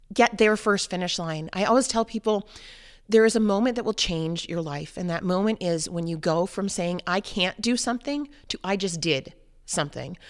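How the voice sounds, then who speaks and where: A woman's unremarkable speaking voice in an American accent, medium in pitch, with lively intonation at a fairly quick pace, on a very clean recording over a silent background. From New Hampshire, US. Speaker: mother and runner. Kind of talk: interview.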